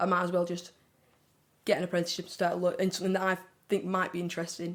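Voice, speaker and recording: Very fast and in a flat monotone, a woman speaks at a fairly low pitch. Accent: Lancashire. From northern England, Wigan. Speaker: digital marketing apprentice. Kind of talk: casual interview chat.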